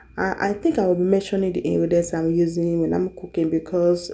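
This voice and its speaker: In a dark, mellow tone, a woman speaks at a moderate pace with a fairly low pitch against a quiet background. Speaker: home cooking vlogger. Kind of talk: casual vlog chat. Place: kitchen. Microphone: camera far.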